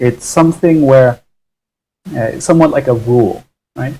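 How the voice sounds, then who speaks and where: A man with an American accent talks at a medium pitch, his tone dark and mellow. His voice is somewhat breathy, with ordinary pitch variation. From US Northeast (Connecticut), raised from age 3 by English parents. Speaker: English teacher. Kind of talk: live online English lesson. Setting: livestream. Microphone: poor audio quality.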